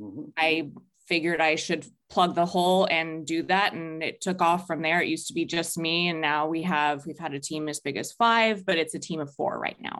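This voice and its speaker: Against a quiet background, a woman speaks in a normal speaking voice at a fairly low pitch. Her pace is moderate, with ordinary pitch variation. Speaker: music booking agent. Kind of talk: interview.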